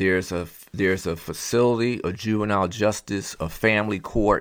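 In a Philadelphia accent, a man speaks at a moderate pace. His pitch is fairly low with ordinary variation, on a very clean recording with a silent background. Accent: Philadelphia American English. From Philadelphia, Pennsylvania. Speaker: educator and former prison school principal. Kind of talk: interview.

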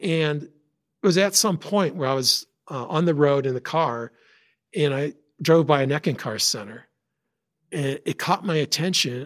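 A plain, everyday voice: a man with an American accent, fairly high pitch, lively intonation and moderate pace, on a very clean recording with a silent background. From upstate New York. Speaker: software engineer, religious podcast guest. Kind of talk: personal testimony.

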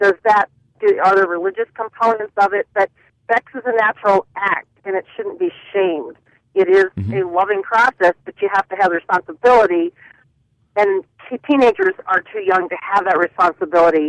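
In a dry, close recording with no echo, a woman at a medium pitch talks at a fairly quick pace with ordinary pitch variation and long, frequent pauses. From Western Pennsylvania. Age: 40s. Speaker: nurse, radio caller. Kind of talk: call-in talk radio.

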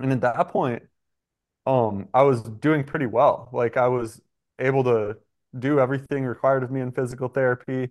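With an American accent, a man in an ordinary speaking voice talks at medium pitch and a moderate pace with fairly even intonation against a quiet background. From US Midwest (southeastern Michigan). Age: 20s. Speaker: pro mountain biker. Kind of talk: casual chat.

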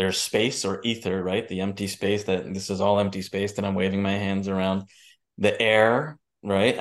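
Against a quiet background, a man talks in a New York accent at a moderate pace. His fairly low voice stays monotone and flat. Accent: New York area American. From New Jersey / New York. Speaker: entrepreneur and filmmaker. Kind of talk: interview.

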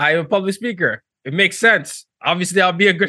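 A man's high-pitched voice, bright and sharp in tone, with lively intonation and a very fast pace. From Nigeria, Lagos. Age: young. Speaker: diversity consultant and professor. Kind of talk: interview.

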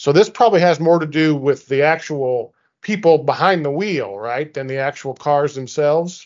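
Someone talks at a moderate pace with ordinary pitch variation in a normal speaking voice. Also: man, fairly high pitch for a man. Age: 50s. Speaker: insurance association CEO and interviewer. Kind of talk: interview.

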